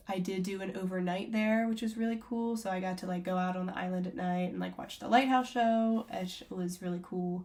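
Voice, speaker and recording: Somewhat breathy, a woman talks at a fairly quick pace with hardly any pauses and fairly even intonation. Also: medium pitch for a woman. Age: 20s. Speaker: travel vlogger. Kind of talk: casual review to camera. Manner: casual, filler-heavy.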